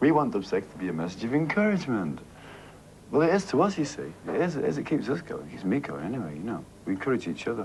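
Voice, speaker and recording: A man with a strong Mancunian accent races along at a very fast pace with very wide pitch swings. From Manchester, northern England. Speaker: band singer. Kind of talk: TV interview. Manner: halting, repetitive.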